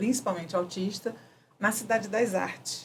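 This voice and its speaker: Somewhat breathy, this voice moves through ordinary pitch variation. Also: woman. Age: 60s. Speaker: architect working in neuroarchitecture. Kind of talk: interview answer. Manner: casual, conversational.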